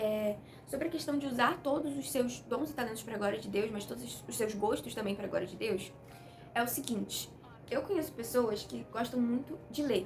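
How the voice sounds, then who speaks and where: A woman's fairly high voice with lively intonation, audible room echo and music in the background. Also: moderate pace. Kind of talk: devotional talk to camera. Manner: casual, conversational.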